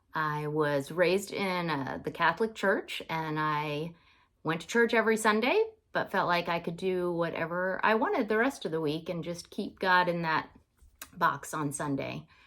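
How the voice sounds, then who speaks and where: Using a normal speaking voice, a woman talks at a moderate pace and fairly low pitch on a very clean recording with a silent background. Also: ordinary pitch variation. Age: 60s. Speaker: sports ministry worker. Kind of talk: personal testimony for an application video. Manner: casual, with many filler words.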